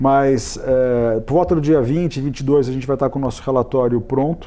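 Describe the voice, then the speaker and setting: With fairly even intonation, a man speaks at a medium pitch as noticeable background noise fills the recording. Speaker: real estate consultancy executive. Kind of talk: studio interview. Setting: TV studio. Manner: fast.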